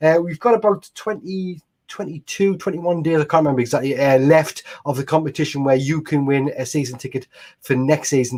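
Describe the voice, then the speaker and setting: A man with a northeast English accent talks at a fairly quick pace in a fairly high pitch with ordinary pitch variation. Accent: northeast English (Mackem), kept. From northeast England, Washington near Sunderland. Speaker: fan channel host. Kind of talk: casual chat. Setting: live stream.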